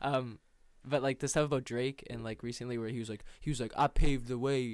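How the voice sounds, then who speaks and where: The recording is very clean with a silent background. A man speaks at a medium pitch. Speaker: podcast host. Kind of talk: casual chat. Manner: animated.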